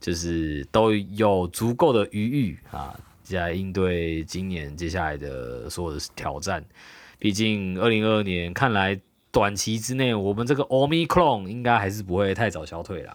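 Lively intonation marks this man's speech. He talks at a fairly slow pace and a fairly low pitch. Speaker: podcast co-host. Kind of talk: casual chat. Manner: animated.

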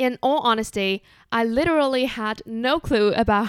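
The voice has a Chinese accent and a dry, close sound with no echo. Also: woman, very clean recording, silent background. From Taiwan. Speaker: podcast host. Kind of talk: solo podcast monologue.

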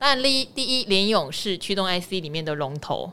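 Her tone bright and sharp, a woman speaks at a moderate pace and medium pitch with very wide pitch swings, in a very clean recording with a silent background. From Taiwan, Pingtung. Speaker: finance podcast host. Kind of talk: casual chat.

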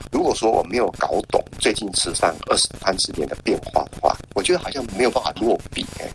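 A man speaks at a fairly quick pace with hardly any pauses, against noticeable background noise. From Taiwan, Hualien. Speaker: academic researcher and author. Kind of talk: interview.

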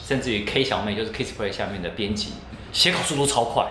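The voice has ordinary pitch variation, and noticeable background noise can be heard. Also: man. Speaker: tech commentator and radio host. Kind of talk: interview. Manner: varied intonation.

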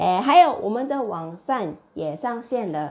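Her voice swings very widely in pitch as the woman speaks. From Japan, Osaka. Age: 30s. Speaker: Japanese language teacher. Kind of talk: language lesson tutorial.

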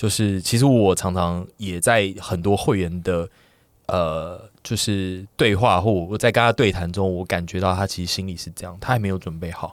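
Delivered at a moderate pace with fairly even intonation, the speech comes on a very clean recording with a silent background. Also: man, very deep, low pitch for a man. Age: 30s. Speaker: podcast guest. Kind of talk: casual chat.

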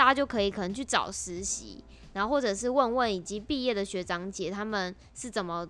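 A woman speaks with a Taiwanese accent at a medium pitch. Her pace is fairly quick, and her pitch varies in an ordinary way. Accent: Taiwanese Mandarin. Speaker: podcast co-host. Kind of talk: casual chat.

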